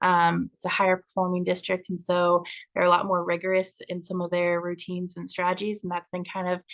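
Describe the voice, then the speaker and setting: Against a quiet background, a woman with an American accent speaks fairly quickly in a fairly low pitch, with monotone, flat intonation. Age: 20s. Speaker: teacher. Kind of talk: self-introduction video. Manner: hesitant, frequent ums.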